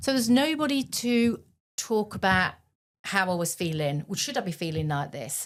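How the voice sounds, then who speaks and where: A woman with a medium-pitched voice speaks at a moderate pace, her pitch swinging very widely, in a very clean recording with a silent background. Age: 60s. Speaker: charity founder. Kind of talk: interview testimony. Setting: podcast recording. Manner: halting.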